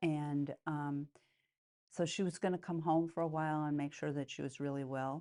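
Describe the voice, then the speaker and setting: Against a quiet background, a woman with an American accent speaks at a moderate pace in a very deep, low pitch, monotone and flat, with a dark, mellow tone. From US Midwest, Chicago. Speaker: nun and educator. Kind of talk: oral history interview. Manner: halting, many fillers.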